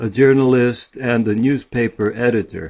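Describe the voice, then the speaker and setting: At a fairly slow pace, a man speaks in a Midwestern accent with ordinary pitch variation. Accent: American Midwest. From US Midwest (Warren, Ohio). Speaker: author and journalist. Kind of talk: self-introduction. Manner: soft-spoken.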